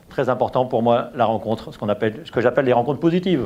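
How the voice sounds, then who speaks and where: This man's voice sits at medium pitch. He speaks at a very fast pace. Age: 60s. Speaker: business owner. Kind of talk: testimony. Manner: hesitant, with fillers and repetitions.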